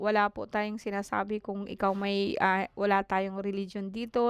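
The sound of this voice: At a moderate pace, a woman talks at medium pitch in a clear, smooth tone.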